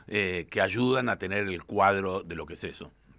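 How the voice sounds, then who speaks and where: A man speaks in a Rioplatense accent. His pace is moderate. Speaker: journalist author. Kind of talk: radio interview. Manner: halting, repeats words.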